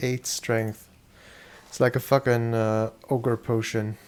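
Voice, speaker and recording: The voice is monotone and flat, moving at a fairly slow pace. Music plays in the background. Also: man. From Germany. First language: German. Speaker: video game streamer. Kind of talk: casual live-stream commentary.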